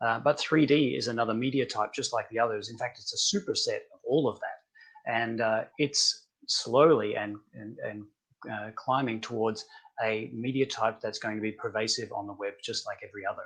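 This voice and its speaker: An Australian accent colors this man's speech. He goes at a moderate pace. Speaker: tech company founder. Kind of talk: webinar interview.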